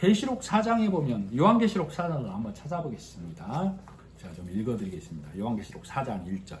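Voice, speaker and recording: A man at a medium pitch with vocal fry, very wide pitch swings and big swings in loudness, at a fairly quick pace amid audible room echo. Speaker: lay preacher leading small church Bible study. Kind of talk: sermon-style Bible teaching with congregation responses.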